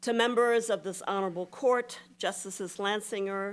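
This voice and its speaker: Very clean recording with a silent background, a woman with a normal speaking voice, medium pitch and ordinary pitch variation, with an American accent. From US South. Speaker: keynote speaker. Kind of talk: formal speech.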